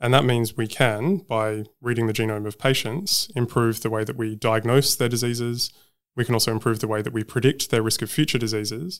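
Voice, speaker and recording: Man with an Australian accent, medium pitch, ordinary pitch variation and a fairly quick pace, in a very clean recording with a silent background. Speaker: genomics researcher and professor. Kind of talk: interview.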